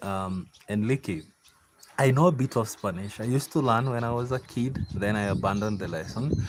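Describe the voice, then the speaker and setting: Ordinary pitch variation and a moderate pace from a male speaker. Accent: Kenyan. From Kenya. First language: Kikuyu. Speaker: farmer. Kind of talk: casual live-stream chat. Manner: relaxed, chatty with fillers.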